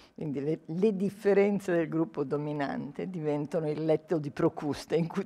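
A woman speaks at a fairly slow pace in a very deep, low pitch, her tone dark and mellow, with ordinary pitch variation. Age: old. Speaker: sociologist; guest. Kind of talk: lecture. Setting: stage with audience. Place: hall. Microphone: podium.

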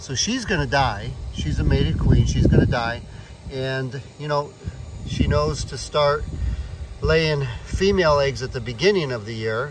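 Amid loud background noise, a man speaks at a moderate pace with long, frequent pauses, the sound dry with no echo. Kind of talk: explanatory commentary. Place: open country. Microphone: phone near.

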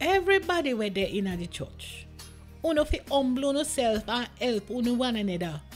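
Music plays behind a woman with a Jamaican accent. Her high voice makes very wide pitch swings at a moderate pace. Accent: Jamaican Patois. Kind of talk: scripture reading.

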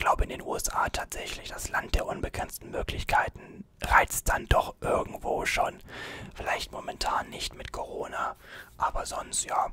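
A man whispers at a fairly slow pace, his loudness swinging widely. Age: 20s. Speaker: YouTuber and student; YouTuber. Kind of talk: ASMR Q&A video. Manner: soft-spoken. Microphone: studio mic.

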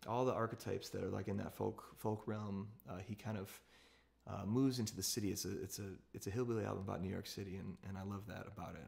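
Rattling along at a very fast pace, a man with a fairly low pitch and vocal fry keeps his intonation fairly even. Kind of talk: casual talk to an online audience between songs. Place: home room. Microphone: phone near.

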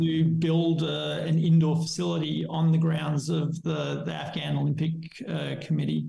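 The speaker has an Australian accent and a moderate pace. Room echo is audible. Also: man. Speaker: skateboarding charity founder; podcast guest. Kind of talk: interview. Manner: halting. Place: home room. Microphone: webcam.

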